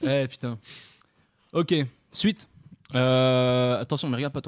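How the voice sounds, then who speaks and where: Male speech, very cleanly recorded with a silent background. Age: 20s. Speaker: podcast co-host. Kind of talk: casual chat.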